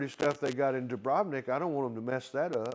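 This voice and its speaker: The speaker has an Arkansas accent and a moderate pace, heard against a quiet background. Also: man. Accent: Southern US (Arkansas) rural. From Arkansas, US South. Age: 70s. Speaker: retiree vlogger. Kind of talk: casual solo monologue. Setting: indoor club with TV screen. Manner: rambling, halting with fillers.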